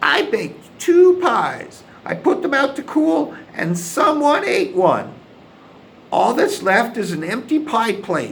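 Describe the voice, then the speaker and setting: Using a put-on character voice, the speaker goes at a fairly slow pace with a high pitch and very wide pitch swings. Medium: read story.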